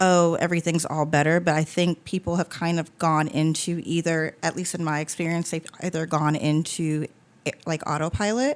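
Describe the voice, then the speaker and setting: In a very clean recording with a silent background, a woman with a fairly low pitch talks with fairly even intonation. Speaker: podcast host and funeral home worker. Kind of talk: casual conversation. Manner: fast.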